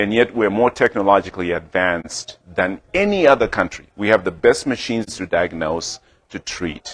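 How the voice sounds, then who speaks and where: A man with a Zimbabwean accent talks at a fairly low pitch and a moderate pace. His pitch varies in an ordinary way, and the sound is dry and close with no echo. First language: Shona. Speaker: healthcare startup founder and clinician. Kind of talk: business presentation. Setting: talk to a club audience at a restaurant.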